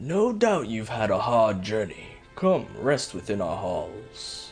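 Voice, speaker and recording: Over clear background music, a man puts on a character voice at medium pitch and a fairly slow pace. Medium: actual play. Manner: formal, measured.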